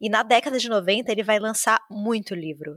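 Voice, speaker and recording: At a moderate pace, the speaker uses a normal speaking voice with ordinary pitch variation, and the sound is dry and close with no echo. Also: woman. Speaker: podcast host. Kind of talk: casual chat.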